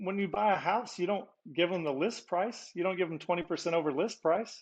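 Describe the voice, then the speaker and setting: In a quiet background, a man with a Texan accent speaks in a high pitch at a fairly quick pace with ordinary pitch variation. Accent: Texan American. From Texas. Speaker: podcast guest. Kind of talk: casual chat.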